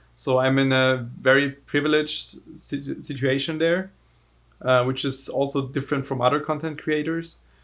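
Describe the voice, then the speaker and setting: At a moderate pace, a man speaks with fairly high pitch and monotone, flat intonation. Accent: German. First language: German. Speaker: overclocker and tech entrepreneur. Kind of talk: casual interview.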